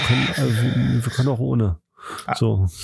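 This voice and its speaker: Speaking at a moderate pace in a plain, everyday voice, a man with a medium pitch uses lively intonation. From Germany. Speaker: podcast co-host. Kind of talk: casual chat.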